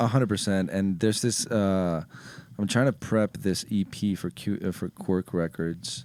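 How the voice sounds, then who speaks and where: A man with a Spanish accent talks at a moderate pace, his fairly low pitch showing ordinary variation in a dry sound with no echo. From Ecuador. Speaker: music producer and DJ; DJ. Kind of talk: casual chat. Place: studio. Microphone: studio mic.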